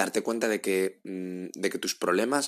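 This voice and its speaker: Fairly even intonation from a man at a fairly low pitch. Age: 30s. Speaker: podcast host. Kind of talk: advice monologue. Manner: halting, with frequent repetitions.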